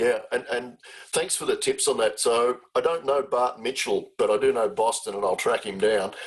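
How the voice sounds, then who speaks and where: With an Australian accent, this voice moves along at a middling speed. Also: man. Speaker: charity CEO, webinar host. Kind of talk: webinar conversation.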